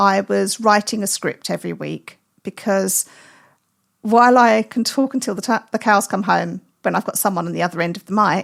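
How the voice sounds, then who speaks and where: Recorded very cleanly against a silent background, a woman speaks at a fairly quick pace in an animated tone with vocal fry. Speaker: birding podcaster. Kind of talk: casual chat.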